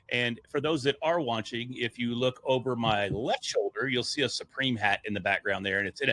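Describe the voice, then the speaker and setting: In a very clean recording with a silent background and a dry, close sound with no echo, a man talks loudly at a moderate pace, his medium-pitched voice bright and sharp in tone with ordinary pitch variation. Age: middle-aged. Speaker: podcast media entrepreneur. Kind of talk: casual interview storytelling.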